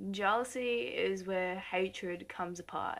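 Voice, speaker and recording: Loud and with lively intonation, a woman speaks at a medium pitch. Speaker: vlogger. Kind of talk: casual vlog monologue. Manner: trying to speak loudly and clearly.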